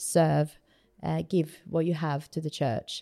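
A woman's very deep, low voice, dark and mellow in tone, with a dry, close sound and no echo. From Sweden. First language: Swedish. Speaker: church planter. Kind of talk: interview.

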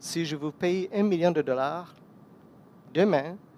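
Pitch shifts in an ordinary way here. The delivery is very slow. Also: man. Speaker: guest preacher. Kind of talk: sermon.

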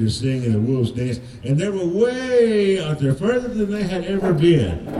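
The speaker goes at a moderate pace with very wide pitch swings. Noticeable background noise is present. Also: man. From Cherokee. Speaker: storyteller. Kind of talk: storytelling.

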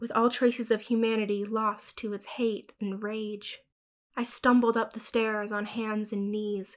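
The background stays quiet. Over it, the speaker is reading aloud in a natural voice.

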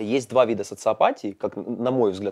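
Over a quiet background, a man talks in a normal speaking voice at a medium pitch and moderate pace, the sound dry and close with no echo. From eastern Ukraine, Pokrovsk (Donetsk region). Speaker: podcast host. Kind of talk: casual chat. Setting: school building.

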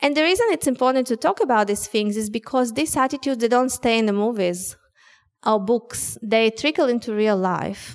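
A woman with a Russian accent speaks fairly quickly at a fairly high pitch, her loudness very even throughout. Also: ordinary pitch variation. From Soviet Union. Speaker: author. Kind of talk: public talk. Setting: stage with audience.

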